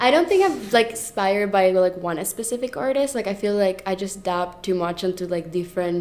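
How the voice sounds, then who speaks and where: Speaking at a fairly quick pace with a Spanish accent, a woman uses a medium pitch with ordinary pitch variation. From Venezuela. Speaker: artist. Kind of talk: interview.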